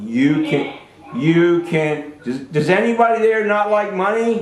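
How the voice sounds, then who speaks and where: A man's voice comes through with audible room echo and noticeable background noise behind it. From New Jersey, US. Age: 60s. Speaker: Air Force veteran and school alumnus speaking to a class. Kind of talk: talk to schoolchildren over video call. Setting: video call. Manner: animated.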